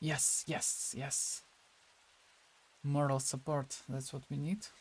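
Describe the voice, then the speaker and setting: A somewhat breathy man with a fairly high pitch speaks at a very slow pace, his intonation fairly even. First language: Russian. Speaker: digital sculptor streamer. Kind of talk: casual livestream chat. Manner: halting.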